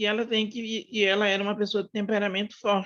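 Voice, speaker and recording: A woman's medium-pitched voice at a moderate pace, dry and close with no echo. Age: 60s. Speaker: book club participant. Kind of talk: casual discussion. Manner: halting.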